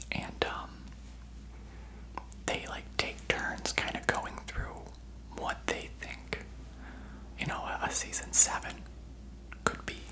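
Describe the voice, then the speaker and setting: Whispering at a very slow pace with long, frequent pauses, the speaker is heard over noticeable background noise. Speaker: ASMR creator. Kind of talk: ASMR whisper ramble. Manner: whispered.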